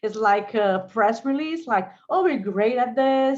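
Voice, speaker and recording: A woman with a Portuguese accent talks at a moderate pace with ordinary pitch variation against a quiet background. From Brazil. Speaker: lawyer and legal innovator. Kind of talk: panel discussion. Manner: halting, repetitive.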